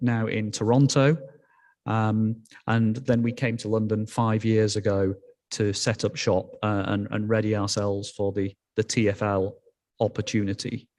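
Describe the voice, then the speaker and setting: Speaking at a moderate pace with a Yorkshire accent, a man uses a fairly low pitch and monotone, flat intonation in a very clean recording with a silent background. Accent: Yorkshire, noticeable. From northern England, Yorkshire. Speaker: telecom executive. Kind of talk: conference talk. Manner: halting, many fillers.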